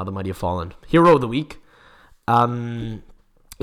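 A man with a North American accent speaks at a moderate pace in a medium pitch. His tone is animated. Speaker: football podcast host. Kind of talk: casual chat.

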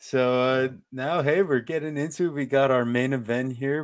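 A man's ordinary speaking voice at a medium pitch, with a fairly slow pace and ordinary pitch variation. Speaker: MMA betting podcast host. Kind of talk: casual chat.

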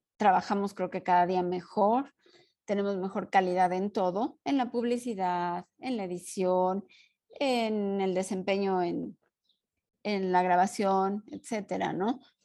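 Against a quiet background, a woman with a dark, mellow tone talks at a fairly slow pace and with fairly even intonation. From Mexico. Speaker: podcast co-host, art historian and teacher. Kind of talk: casual chat.

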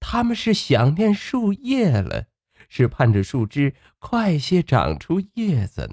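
A man's slow, slightly mellow voice with vocal fry and very wide pitch swings, on a very clean recording with a silent background

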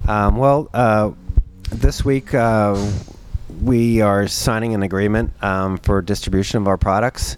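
Noticeable background noise sits behind a man speaking. His voice is fairly low, with fairly even intonation. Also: fairly slow pace. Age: 40s. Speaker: brewery owner and contractor. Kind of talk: interview. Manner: halting.

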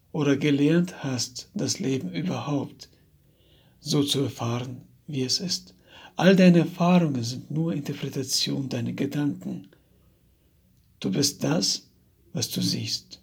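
A man with a fairly high pitch and vocal fry speaks at a very slow pace. His intonation is lively, broken by long, frequent pauses. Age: 30s. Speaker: personal coach. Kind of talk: motivational monologue.

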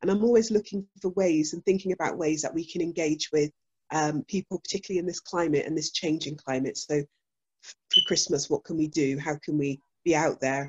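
Talking at a fairly quick pace, a woman has a very deep, low pitch. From Bristol, England. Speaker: church minister. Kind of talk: casual chat.

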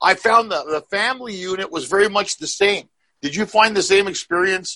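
A man with a high pitch and a bright, sharp tone speaks in a raised, projected voice at a fairly quick pace, the sound dry and close with no echo. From Canada. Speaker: comedy podcast co-host. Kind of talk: casual chat.

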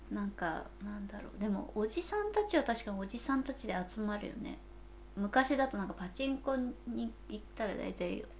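A woman talks at a moderate speed, with noticeable noise behind her. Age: middle-aged. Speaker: podcast co-host, company employee in oral care. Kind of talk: casual chat.

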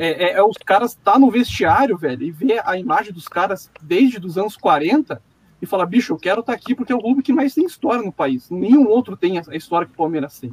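A man talks at a fairly quick pace with hardly any pauses, his high pitch swinging very widely. His loudness varies a lot, and the sound is dry and close with no echo. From Curitiba, southern Brazil. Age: 20s. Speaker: football fan commentator. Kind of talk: casual chat. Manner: animated.

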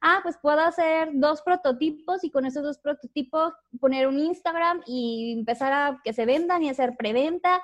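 A woman with a Mexican accent speaks in a high pitch at a fairly slow pace. Her pitch varies in an ordinary way. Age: 20s. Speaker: youtuber and entrepreneur. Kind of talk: casual interview chat.

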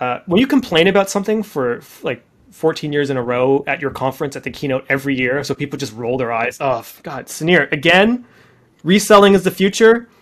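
With a Canadian accent and a normal speaking voice, a man talks at a fairly high pitch with lively intonation. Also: fairly quick pace. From Canada, Deep River, Ontario. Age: 40s. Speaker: startup founder and CEO. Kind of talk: podcast interview.

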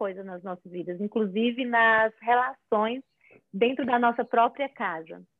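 Her intonation fairly even, a woman speaks at a moderate speed. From Fortaleza, Ceará, Brazil. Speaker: image and style consultant. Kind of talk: casual live-stream chat. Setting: online live stream.

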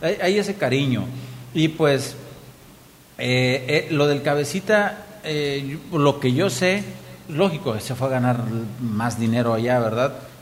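At a very slow pace, a man talks with a fairly high pitch and lively intonation, leaving long, frequent pauses. Noticeable background noise runs underneath. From Mexico, Hidalgo (Pachuca area). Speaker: former professional footballer and coach. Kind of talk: casual chat.

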